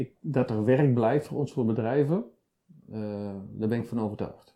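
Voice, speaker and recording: A man speaks at a moderate pace with a dark, mellow tone, his pitch medium. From Netherlands, Gelderland. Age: 50s. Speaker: business owner in earthmoving. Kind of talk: interview. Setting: office.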